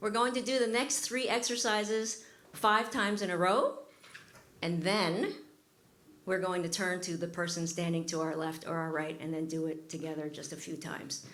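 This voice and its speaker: In a room with audible echo, a woman with a fairly low voice speaks at a moderate pace with ordinary pitch variation. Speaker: workshop facilitator. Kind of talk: guided group exercise.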